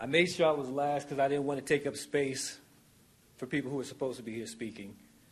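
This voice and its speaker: Audible room echo surrounds a man talking at a very fast pace. His intonation is fairly even. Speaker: public commenter. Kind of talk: public comment speech. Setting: city council meeting. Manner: loud.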